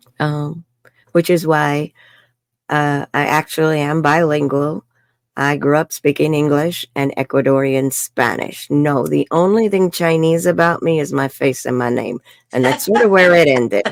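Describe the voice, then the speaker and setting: In a New York accent, a woman speaks with a very deep, low pitch and ordinary pitch variation. The sound is dry and close with no echo, on a very clean recording with a silent background. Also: moderate pace. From New York City. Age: 60s. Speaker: life coach. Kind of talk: interview. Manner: animated.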